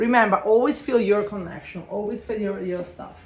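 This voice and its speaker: Speaking with an Italian accent, a woman sounds somewhat breathy as she goes at a moderate pace with ordinary pitch variation. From Italy. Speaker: spiritual energy cleanse content creator. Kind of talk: casual vlog talk. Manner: halting.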